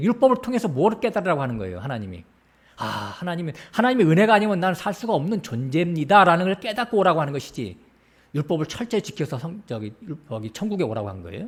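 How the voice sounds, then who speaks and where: A man talks at a very fast pace with a high pitch. His pitch swings very widely. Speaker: pastor. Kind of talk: sermon.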